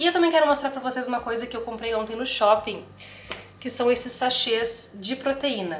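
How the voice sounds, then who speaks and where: In an ordinary speaking voice, a fairly high-pitched woman keeps a moderate pace. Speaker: nutritionist vlogger. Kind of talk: casual vlog.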